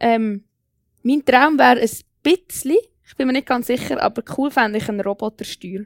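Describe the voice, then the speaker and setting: At a moderate pace, a woman with a fairly high pitch and ordinary pitch variation is heard in a dry, close sound with no echo. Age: 20s. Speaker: young local politician. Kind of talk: panel debate.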